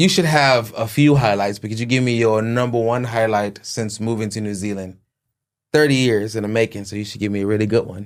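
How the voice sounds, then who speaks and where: Speaking fairly quickly, a man with a plain, everyday voice sits at a medium pitch with ordinary pitch variation and big swings in loudness. The recording is very clean, with a silent background. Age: 30s. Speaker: podcast host. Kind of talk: casual interview chat.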